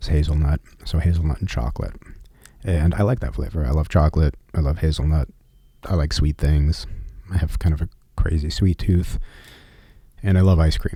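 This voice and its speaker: A soft-spoken man talks at a fairly quick pace in a relaxed tone, with long, frequent pauses. His very deep, low pitch is somewhat breathy, with a dark, mellow tone. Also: ordinary pitch variation. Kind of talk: ASMR personal travel story. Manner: soft-spoken, relaxed.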